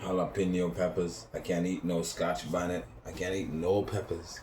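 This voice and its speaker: A man with a Caribbean accent speaks at a moderate pace, his pitch very deep and low, his voice somewhat breathy. His intonation stays fairly even amid audible room echo. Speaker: vlogger. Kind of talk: casual vlog monologue. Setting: home balcony. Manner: rambling, halting with fillers.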